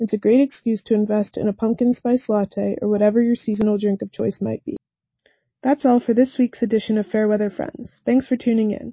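A woman with a somewhat breathy, fairly high-pitched voice talks at a fairly quick pace with fairly even intonation. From Atlanta, Georgia. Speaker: student radio weather presenter. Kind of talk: scripted weather report.

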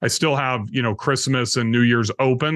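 Talking at a fairly quick pace, a man with an ordinary speaking voice keeps a medium pitch and fairly even intonation. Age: 50s. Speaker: real estate investor. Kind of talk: casual chat.

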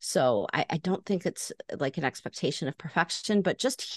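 Lively intonation and vocal fry mark this woman's American accent at a moderate pace. The sound is dry and close with no echo, over a quiet background.

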